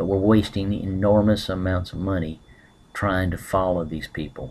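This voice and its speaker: Here a man speaks with a Southern US accent and a very deep, low pitch. He keeps a moderate pace and fairly even intonation. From US South. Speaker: political commentator. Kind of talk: webcam monologue. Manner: hesitant, many fillers.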